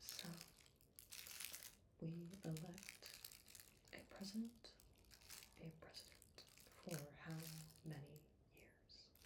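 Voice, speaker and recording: A soft-spoken, somewhat breathy woman's voice, relaxed in tone, fairly low in pitch with ordinary pitch variation, very slow with long, frequent pauses and big swings in loudness. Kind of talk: ASMR soft-spoken talk to camera. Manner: soft-spoken, slow, relaxed.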